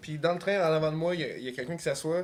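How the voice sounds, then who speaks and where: A man speaks with a Quebec accent. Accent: Québécois French. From Quebec, South Shore of Montreal. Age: 30s. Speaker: podcast guest. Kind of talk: casual chat, personal story. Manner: hesitant, many fillers.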